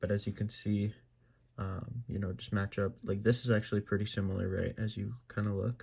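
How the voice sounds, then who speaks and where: A quiet, somewhat breathy man at a moderate pace, fairly low pitch, dark mellow tone and flat monotone intonation, on a very clean recording with a silent background. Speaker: gaming YouTuber. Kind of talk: tutorial. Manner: halting, many fillers.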